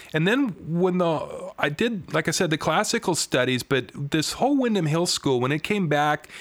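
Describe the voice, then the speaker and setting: A man with an American accent speaks at a moderate pace, his pitch swinging very widely, in a very clean recording with a silent background. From Washington State, US Pacific Northwest. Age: 50s. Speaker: guitarist and songwriter. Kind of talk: interview.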